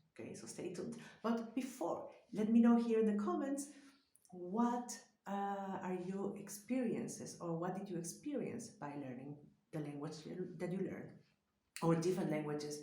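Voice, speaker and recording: With a Spanish accent, a woman at a medium pitch speaks at a moderate pace with lively intonation, big swings in loudness and long, frequent pauses, against audible room echo. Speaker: psychologist. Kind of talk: vlog talk to camera.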